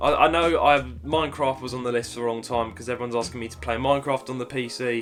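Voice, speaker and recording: With music in the background, a man in a Cockney accent talks at a very fast pace and medium pitch, his loudness swinging widely. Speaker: gaming YouTuber and streamer. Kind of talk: casual Q&A talk to camera.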